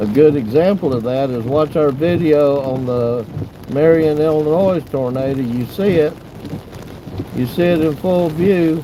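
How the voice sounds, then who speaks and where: Someone speaks at a moderate pace in a Southern accent with ordinary pitch variation. Audible room echo and noticeable background noise surround the voice. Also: man. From US South, Pensacola / Florida Panhandle. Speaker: storm chaser. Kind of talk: casual chat during live stream.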